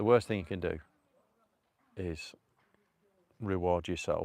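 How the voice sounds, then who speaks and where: Over a very clean recording with a silent background, a man speaks at a very deep, low pitch in a Manchester accent. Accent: northern English (Manchester). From northern England, North Manchester. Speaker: self-improvement vlogger. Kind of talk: casual live vlog. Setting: outdoors. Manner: rambling, hesitant.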